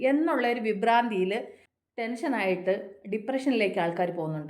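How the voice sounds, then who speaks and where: A woman speaks with lively intonation at a fairly high pitch. Her voice carries an audible room echo. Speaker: motivational vlogger. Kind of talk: motivational talk. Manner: repetitive, conversational.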